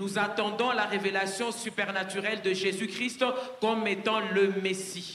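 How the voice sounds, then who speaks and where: A raised, projected voice with very even loudness and flat, monotone delivery at a fairly slow pace, with audible room echo and light background noise. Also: man, high pitch for a man. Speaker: French interpreter; preacher. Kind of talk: consecutive interpreting of a sermon; sermon. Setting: church, live audience. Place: stage. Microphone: handheld.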